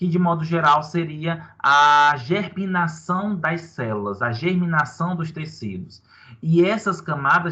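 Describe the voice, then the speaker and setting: Against a quiet background, a man speaks at a fairly slow pace with a fairly high pitch. His tone is bright and sharp, and his intonation is lively. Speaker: university lecturer. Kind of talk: online lecture. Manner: animated.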